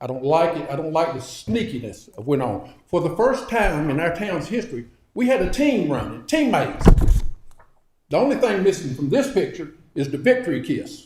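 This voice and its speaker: The pitch swings very widely as the words come at a moderate pace, with audible echo from the room. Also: man, high pitch for a man. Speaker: public commenter. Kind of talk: public comment. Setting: council meeting.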